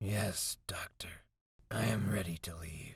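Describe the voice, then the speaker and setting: A man puts on a character voice, gravelly and raspy, with a fairly low pitch. He speaks at a fairly slow pace. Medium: read story. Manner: terse, few words, flat.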